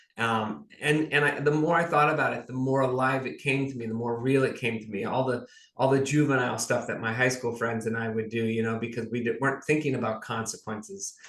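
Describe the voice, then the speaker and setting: A man with an American accent, a medium pitch and an ordinary speaking voice, at a fairly quick pace with hardly any pauses. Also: ordinary pitch variation. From California, US. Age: 60s. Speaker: author. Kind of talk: interview.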